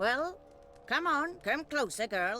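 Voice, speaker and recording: The pitch is high. The voice is a put-on character voice. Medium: video game. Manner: archaic, scornful.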